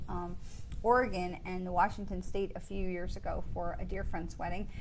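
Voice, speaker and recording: Audible room echo surrounds a woman speaking in an animated tone. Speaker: psychic medium. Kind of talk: live stream card reading. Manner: fast.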